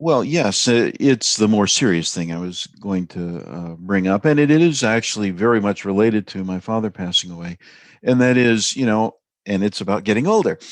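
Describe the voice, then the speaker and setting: A man's fairly low-pitched, unremarkable speaking voice at a moderate pace, with lively intonation over a quiet background. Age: 60s. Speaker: podcast guest. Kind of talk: casual chat.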